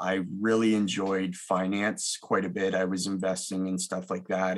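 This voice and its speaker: A man with a Canadian accent talks at a moderate pace. His very deep, low pitch holds a monotone, flat intonation. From Ontario, Canada (Milton and Mississauga). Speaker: mortgage broker. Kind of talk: interview.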